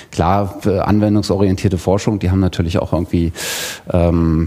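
With a very deep, low pitch and ordinary pitch variation, a man talks at a moderate pace over noticeable background noise. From Thuringia, Germany. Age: 30s. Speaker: podcaster and e-learning designer. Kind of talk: self-introduction at workshop. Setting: workshop room with live audience.

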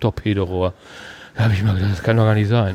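A man is speaking. His pace is very fast. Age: 60s. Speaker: retired police officer. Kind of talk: casual chat. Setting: outdoors.

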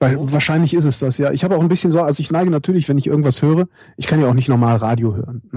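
Very fast and somewhat breathy, a man's fairly high voice carries a dark, mellow tone and ordinary pitch variation. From Germany, Cologne. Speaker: radio host and podcaster. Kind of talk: interview.

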